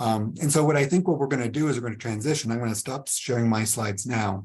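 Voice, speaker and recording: Ordinary pitch variation marks this somewhat breathy voice, which moves at a fairly quick pace. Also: man. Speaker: trauma researcher and clinician. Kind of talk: webinar presentation. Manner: animated, engaging.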